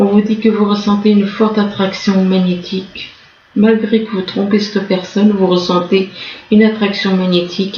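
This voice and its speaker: Amid audible room echo and noticeable background noise, a woman speaks at a moderate pace and medium pitch with monotone, flat intonation. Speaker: tarot reader. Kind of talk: tarot reading. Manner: halting.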